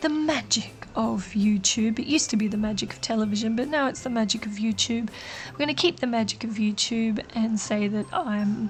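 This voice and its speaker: A woman speaks at a moderate pace and a fairly high pitch with ordinary pitch variation, in an Australian accent. Music plays in the background. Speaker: nail art YouTuber. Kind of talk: tutorial. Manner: casual, chatty.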